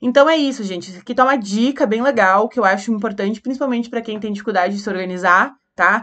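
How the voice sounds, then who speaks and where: Fairly high-pitched, a woman speaks in a plain, everyday voice. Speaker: teacher. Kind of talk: lecture.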